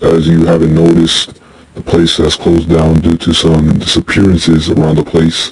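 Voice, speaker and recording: A raspy, put-on character voice. It moves at a moderate pace. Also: man. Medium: short film. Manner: casual, offhand.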